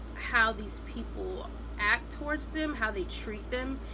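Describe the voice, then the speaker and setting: A woman speaks with audible room echo. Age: 20s. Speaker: vlogger. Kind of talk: casual chat.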